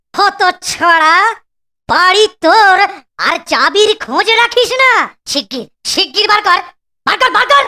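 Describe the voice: A man's cartoonish character voice, extremely high and bright, sharp in tone, with lively intonation, a fairly slow pace, and long, frequent pauses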